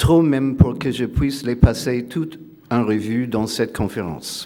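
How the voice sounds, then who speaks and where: Speaking very slowly with a non-native accent, a man has a dark, mellow tone and lively intonation. Room echo is audible. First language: not French (speaking French). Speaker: philosopher. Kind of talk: lecture. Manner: reading aloud; hesitant, many filler sounds.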